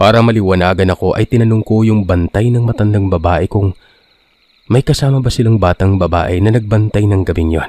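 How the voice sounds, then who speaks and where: A man with a fairly low pitch and ordinary pitch variation talks at a fairly quick pace in a plain, everyday voice, his loudness very even, the sound dry and close with no echo, on a very clean recording with a silent background. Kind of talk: horror story narration, first-person retelling of listener accounts.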